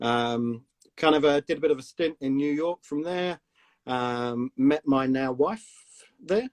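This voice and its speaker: A fairly high-pitched man with a slight South London accent, fairly slow and with ordinary pitch variation, in a dry, close sound with no echo. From South London, England. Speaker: company CEO. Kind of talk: casual interview chat. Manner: casual, hesitant with many fillers.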